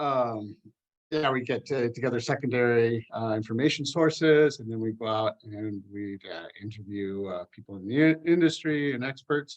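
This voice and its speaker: A man with an American accent at a medium pitch, at a moderate pace, with ordinary pitch variation and big swings in loudness. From California, USA. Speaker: UX researcher. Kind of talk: interview. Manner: halting, many fillers.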